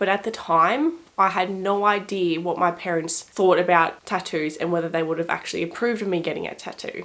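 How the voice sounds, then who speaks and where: Speaking very fast, a woman talks with an Australian accent. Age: 20s. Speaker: lifestyle vlogger. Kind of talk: casual vlog talk to camera.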